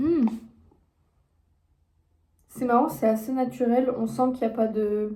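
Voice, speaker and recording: A woman speaks very slowly in a dark, mellow tone at a fairly high pitch, with ordinary pitch variation and long, frequent pauses. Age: 20s. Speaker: content creator and entrepreneur. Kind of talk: casual talk to camera.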